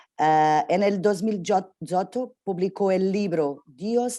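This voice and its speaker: A woman with a Portuguese accent, medium pitch, dark, mellow tone, ordinary pitch variation and a very slow pace. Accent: Portuguese-accented Spanish (portuñol). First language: Portuguese (speaking Spanish). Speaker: interviewer. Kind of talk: interview. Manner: halting.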